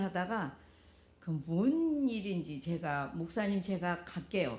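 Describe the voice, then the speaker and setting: A woman with a dark, mellow, somewhat breathy tone speaks at a very slow pace amid audible room echo. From South Korea. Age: 70s. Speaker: pastor's wife giving a testimony. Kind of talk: testimony. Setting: church with congregation.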